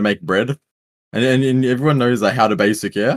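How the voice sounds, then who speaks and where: In a very clean recording with a silent background, a man of medium pitch speaks with an Australian accent. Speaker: podcast co-host. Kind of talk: casual chat.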